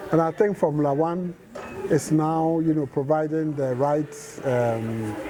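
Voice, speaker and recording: A man talks at a fairly slow pace with a fairly high pitch and ordinary pitch variation. Noticeable background noise is present. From London, England. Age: 60s. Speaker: motorsport fan. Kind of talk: interview.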